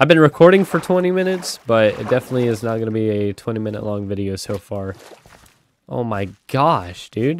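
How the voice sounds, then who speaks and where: Pitch swings are very wide as a man speaks at a medium pitch. His pace is fairly quick. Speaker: gaming video creator. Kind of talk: gameplay commentary. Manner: animated.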